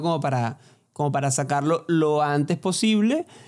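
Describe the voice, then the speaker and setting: In a very clean recording with a silent background, a man with a fairly high pitch talks at a moderate pace in an unremarkable speaking voice. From Venezuela, Barquisimeto. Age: 20s. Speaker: podcast co-host, singer-songwriter. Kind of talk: casual chat.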